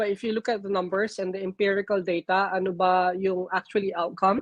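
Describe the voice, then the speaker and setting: Recorded with a dry, close sound and no echo, a woman speaks with a Filipino accent at a moderate pace and medium pitch. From Philippines. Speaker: nurse. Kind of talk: interview. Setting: live stream. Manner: halting.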